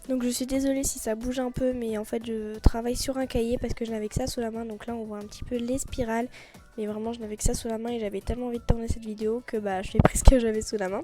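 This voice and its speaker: A woman at a very fast pace with fairly high pitch, monotone, flat intonation and big swings in loudness, with music in the background. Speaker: nail art youtuber. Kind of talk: tutorial. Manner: hesitant, many fillers.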